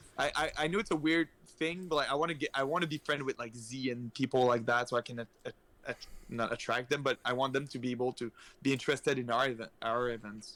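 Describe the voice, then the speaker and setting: Very fast speech in an Acadian accent has a bright, sharp tone and ordinary pitch variation. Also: man, medium pitch for a man, dry, close sound with no echo. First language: French. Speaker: esports community organizer. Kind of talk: casual chat.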